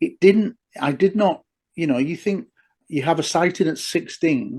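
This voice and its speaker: Delivered at a fairly slow pace in an English accent, the speech has ordinary pitch variation. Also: man. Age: 60s. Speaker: former police detective and UFO researcher. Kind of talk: interview conversation.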